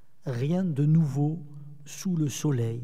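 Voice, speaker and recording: A man with a southern French accent speaks at a very slow pace. His tone is dark and mellow, with lively intonation. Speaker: theologian lecturer. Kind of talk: lecture.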